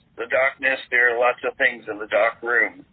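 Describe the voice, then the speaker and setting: A man's voice amid noticeable background noise. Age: 60s. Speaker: exorcist clergyman. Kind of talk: interview. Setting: podcast interview. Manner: halting, many fillers.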